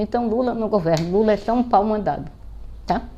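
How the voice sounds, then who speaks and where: At a moderate pace, a woman talks in a medium pitch. Her tone is dark and mellow. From Brazil, Pernambuco (Greater Recife). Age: 70s. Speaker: political commentator vlogger. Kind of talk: political monologue vlog. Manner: animated.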